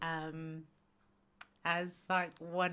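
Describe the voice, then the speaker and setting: A woman with a slight Australian accent, her bright, sharp voice fairly low in pitch, delivered in a flat monotone over a very clean recording with a silent background. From Australia, Sydney. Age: 30s. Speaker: entrepreneur. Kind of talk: podcast interview.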